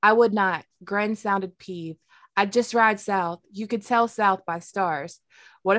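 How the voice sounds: The clip has a natural reading voice set against a quiet background.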